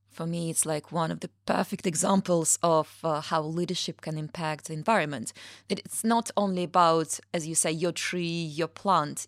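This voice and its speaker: The woman has a normal speaking voice, fairly low in pitch. She talks at a moderate pace with ordinary pitch variation. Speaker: podcast host. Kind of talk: interview conversation. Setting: studio.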